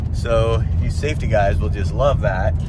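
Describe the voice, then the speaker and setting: A man talks at a fairly slow pace. The sound is dry with no echo, though background noise is noticeable. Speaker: homestead vlogger. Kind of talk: casual vlog chat. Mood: excited about a bargain. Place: car. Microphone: phone near.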